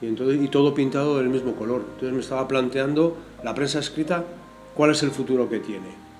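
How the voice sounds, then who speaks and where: A man with a medium-pitched voice talks very fast with ordinary pitch variation, noticeable background noise behind him. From Spain, Madrid. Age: 60s. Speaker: visual artist. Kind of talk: interview. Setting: video podcast.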